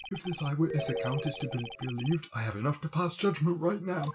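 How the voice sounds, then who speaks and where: A man's put-on character voice, guttural and breathy, fairly high-pitched, with lively intonation at a very fast pace. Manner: bored, sleepy.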